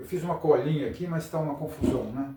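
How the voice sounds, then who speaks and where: There is audible room echo around a man whose fairly high voice keeps a fairly even intonation. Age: 70s. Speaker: astrologer. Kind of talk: improvised lecture. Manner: halting.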